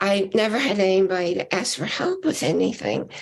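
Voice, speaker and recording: At a fairly slow pace, a woman speaks at a medium pitch. Vocal fry runs through her voice. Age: 70s. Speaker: talk show host. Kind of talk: casual chat.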